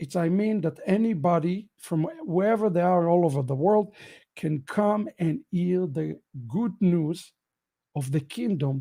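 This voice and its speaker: Speaking with an Israeli accent at a fairly slow pace, a man has a high-pitched, dark, mellow tone and lively intonation. The recording is very clean, with a silent background. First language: Hebrew. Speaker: rabbi. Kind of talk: end-of-year ministry update broadcast.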